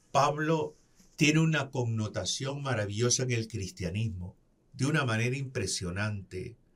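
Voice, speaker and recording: Somewhat breathy delivery with lively intonation. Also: man. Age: 60s. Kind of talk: religious reflection.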